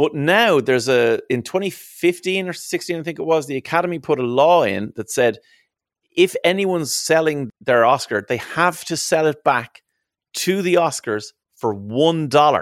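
A man talks at a moderate pace in a Dublin accent. The sound is dry and close with no echo, a very clean recording with a silent background. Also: fairly high pitch for a man, lively intonation. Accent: Irish (Dublin). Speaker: radio presenter and podcast co-host. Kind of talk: casual chat; interview.

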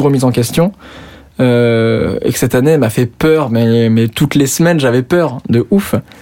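This man's medium-pitched voice has a dark, mellow tone. He speaks at a moderate pace with ordinary pitch variation. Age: 20s. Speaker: youtuber. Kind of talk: casual interview. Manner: hesitant, many fillers.

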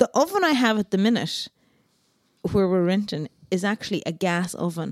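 A woman speaks at a medium pitch in an Irish accent. The sound is dry and close, with no echo. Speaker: podcast co-host. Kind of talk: casual chat.

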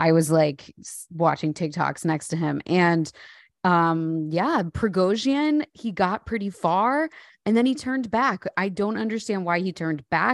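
This woman talks at a fairly slow pace with a medium pitch and lively, animated intonation. The sound is dry and close with no echo, against a quiet background. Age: 30s. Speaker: comedian podcast co-host. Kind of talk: casual comedic chat.

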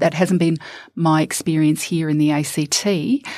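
This woman speaks in a New Zealand accent. Her voice has a dark, mellow tone and fairly low pitch. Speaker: former politician. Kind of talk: panel discussion. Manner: halting.

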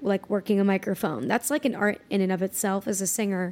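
A woman with medium pitch talks at a fairly quick pace in a normal speaking voice. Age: 20s. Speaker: R&B and pop singer. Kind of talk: casual chat.

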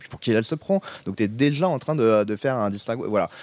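A man's medium-pitched voice at a very fast pace, lively intonation, dry, close sound with no echo, and a very clean recording with a silent background. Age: 30s. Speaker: TV series director and co-writer. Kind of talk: casual chat. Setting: outdoors.

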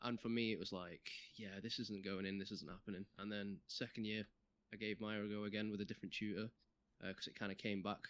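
A man talks at a very fast pace with a Mancunian accent. His pitch is fairly low and his intonation is monotone and flat. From Manchester, England. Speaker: game QA tester. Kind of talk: casual chat.

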